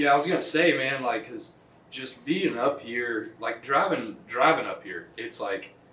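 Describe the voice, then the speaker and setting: A man's fairly high voice in a Texas accent, fairly slow and with lively intonation, big swings in loudness, audible room echo and noticeable background noise. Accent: Texas Southern US. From Southeast Texas. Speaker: podcast host. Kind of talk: casual chat.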